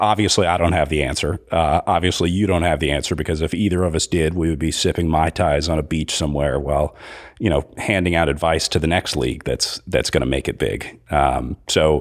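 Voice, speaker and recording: Speaking at a fairly quick pace, a man with a very deep, low pitch and vocal fry keeps his intonation fairly even. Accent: American. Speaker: race announcer and live-stream producer. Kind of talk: casual interview. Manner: halting, many fillers.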